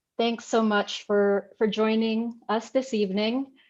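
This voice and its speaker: In a Filipino accent, a woman with a fairly high pitch talks at a fairly slow pace against a quiet background. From Philippines. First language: Tagalog. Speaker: artist. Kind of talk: artist talk.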